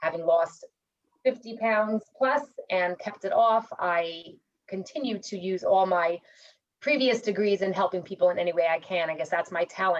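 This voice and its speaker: A woman talks with a New York accent at a moderate pace. Her pitch is medium with ordinary variation. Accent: New York American. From New York City, US. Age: 40s. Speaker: mortgage consultant. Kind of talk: networking presentation. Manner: casual.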